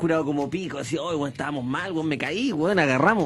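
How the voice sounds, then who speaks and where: A man speaks very fast with a Chilean accent, his pitch fairly high and its variation ordinary. His tone is animated, and there is noticeable background noise. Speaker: radio host. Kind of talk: casual chat.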